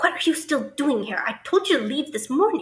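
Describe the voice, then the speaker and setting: Putting on a character voice, a woman talks fairly quickly at a high pitch with very wide pitch swings. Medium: read story. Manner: urgent, ominous.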